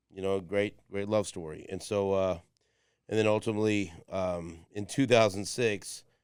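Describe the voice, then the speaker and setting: Over a silent background in a very clean recording, a man talks at a moderate pace. His pitch is fairly low and his intonation fairly even. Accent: American. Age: 50s. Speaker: podcast host. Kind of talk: casual chat. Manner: halting, repetitive.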